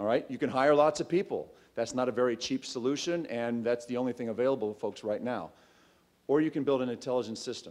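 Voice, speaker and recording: A man talks very fast, his pitch varying in an ordinary way. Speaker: startup founder. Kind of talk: pitch presentation. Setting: stage with audience. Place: hall. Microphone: podium.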